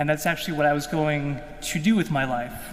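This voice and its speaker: With a Midwestern American accent, a man speaks with ordinary pitch variation amid noticeable background noise and audible room echo. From Kansas, US. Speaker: seminarian. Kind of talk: testimony.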